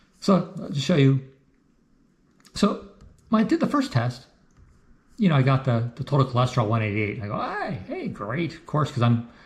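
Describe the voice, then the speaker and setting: His intonation is lively and his pace fairly quick. The man's voice sounds somewhat breathy. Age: 60s. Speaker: health vlogger, amateur cyclist. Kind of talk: casual talk walking through his blood test results. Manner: casual, halting with many fillers.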